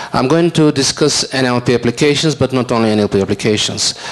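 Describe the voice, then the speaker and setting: Spoken at a moderate pace, the voice shows ordinary pitch variation. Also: man. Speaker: invited lecturer. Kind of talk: lecture. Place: hall. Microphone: handheld.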